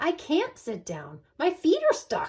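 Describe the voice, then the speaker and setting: A woman's put-on character voice, squeaky and extremely high in pitch, at a fairly slow pace. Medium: read story. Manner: prim, particular.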